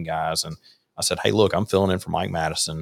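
A man with a Mississippi accent at a very fast pace, in a very clean recording with a silent background. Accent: US Southern (Mississippi). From Mississippi, Rankin County. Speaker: conservative political advocate. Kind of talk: casual chat. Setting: livestream.

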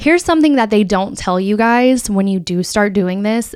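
Speaking with an American accent, a woman uses a normal speaking voice with a fairly high pitch and ordinary pitch variation. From Florida, US. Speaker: podcast host, content creator and social media marketer. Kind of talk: casual solo talk.

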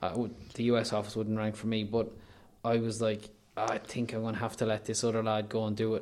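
A man with an Irish midlands accent, medium pitch, monotone, flat intonation and a fairly quick pace. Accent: Irish (north-west midlands). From Ireland, County Leitrim. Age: 30s. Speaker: online news editor, former radio presenter. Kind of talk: casual chat. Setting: hotel room with window view.

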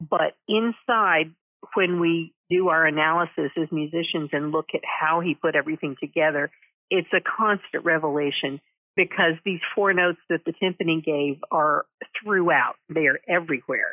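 Using an unremarkable speaking voice, a woman with an American accent talks at a moderate pace with fairly even intonation and very even loudness. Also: fairly low pitch for a woman. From Texas (Denton). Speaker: concertmaster violinist. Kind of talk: interview.

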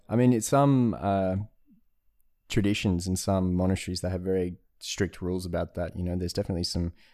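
This dark, mellow voice comes with an Australian accent and ordinary pitch variation. The pace is fairly quick, and the recording is very clean with a silent background. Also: man. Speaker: Zen practitioner and traveller. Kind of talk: casual chat. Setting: at home.

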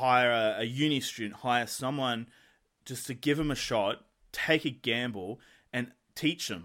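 With an Australian accent, a man talks at a fairly slow pace in a medium pitch with ordinary pitch variation. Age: 20s. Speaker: entrepreneur and podcaster. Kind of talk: casual interview chat. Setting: Skype call.

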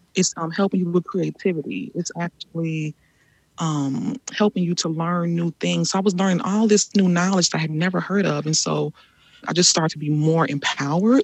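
Heard with a dry, close sound and no echo, a woman with an American accent and a plain, everyday voice speaks at a moderate pace in a fairly low pitch with ordinary pitch variation. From Chicago, US Midwest. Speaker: artist and rest activist. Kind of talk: interview conversation.

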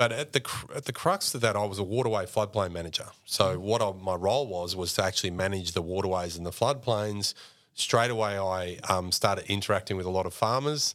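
A man with an Australian accent and a fairly low-pitched voice talks at a fairly quick pace with ordinary pitch variation, on a very clean recording with a silent background. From Mildura, regional Victoria, Australia. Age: 40s. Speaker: clean energy policy executive and former deputy mayor. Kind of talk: casual interview.

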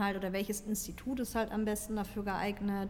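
A woman's fairly high voice at a very fast pace. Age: 30s. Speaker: fitness podcast co-host, fitness trainer. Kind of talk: casual chat.

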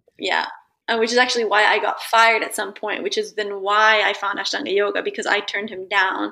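Speaking fairly quickly with a General American accent, a woman uses a medium pitch and a bright, sharp tone in flat, monotone intonation. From Italy. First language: Italian. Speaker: yoga practitioner. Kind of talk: interview.

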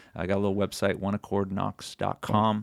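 Talking at a fairly quick pace, a man speaks in a West Coast American accent. The recording is very clean, with a silent background. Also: dry, close sound with no echo. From California, Sonoma County. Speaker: pastor. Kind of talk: interview, personal testimony. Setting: studio.

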